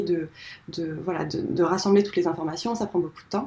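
A woman talks at a fairly quick pace in a normal speaking voice. Her pitch varies in an ordinary way. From north-eastern France. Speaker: founder of eco-design school. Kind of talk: interview conversation.

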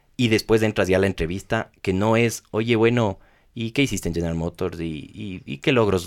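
With ordinary pitch variation, a man talks at a moderate pace in a fairly low pitch on a very clean recording with a silent background. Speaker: hotel company executive. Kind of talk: interview. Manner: halting, many repeated words.

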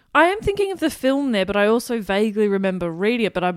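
Using ordinary pitch variation, a woman speaks at a very fast pace in an Australian accent. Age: 20s. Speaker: radio presenter. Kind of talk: casual chat.

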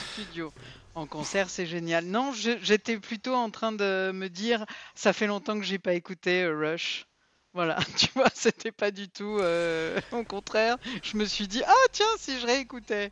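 A woman speaks at a very slow pace, at medium pitch with ordinary pitch variation. The sound is dry and close with no echo, over a quiet background. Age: 50s. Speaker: podcast co-host. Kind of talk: casual chat.

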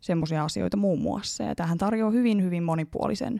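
A woman's fairly low, dark, mellow voice at a fairly quick pace, with very wide pitch swings. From Hämeenlinna, Finland. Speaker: medical student and researcher. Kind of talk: interview.

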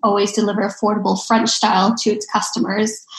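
The woman speaks at a fairly high pitch. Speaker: podcast host. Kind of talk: interview.

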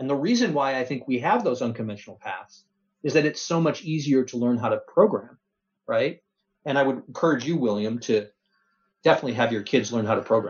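An unremarkable speaking voice from a man of medium pitch moves at a fairly quick pace with ordinary pitch variation. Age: 50s. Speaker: technology executive. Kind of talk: interview.

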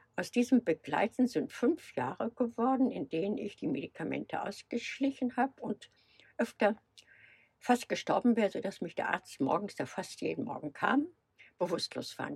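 A woman speaks at a moderate pace in a fairly high voice with vocal fry. Her pitch swings very widely, and the sound is dry and close with no echo. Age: 70s. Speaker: van traveller. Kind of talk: casual interview.

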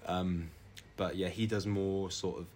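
Music plays in the background as a man talks in a fairly low voice. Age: 20s. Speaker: climate activist. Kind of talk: casual chat. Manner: animated.

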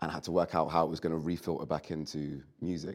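In a London accent, a man speaks with a very deep, low voice and a flat, monotone delivery. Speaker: rapper. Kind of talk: casual chat.

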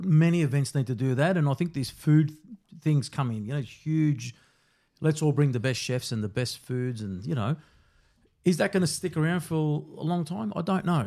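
Lively, fairly high-pitched male voice with an Australian accent at a moderate pace, on a very clean recording with a silent background. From Melbourne, Australia (Brunswick). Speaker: security company founder. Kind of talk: interview.

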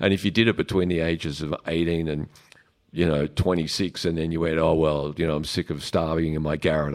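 An Australian accent comes through. The background is silent in this very clean recording. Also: man. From Melbourne, Australia. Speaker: drummer. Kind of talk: audience Q&A. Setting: live audience at a club. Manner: hesitant, many fillers.

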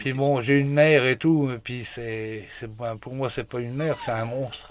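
Fairly slow male speech at a medium pitch, the intonation fairly even. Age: 40s. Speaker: hunter on sick leave. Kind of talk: casual chat.

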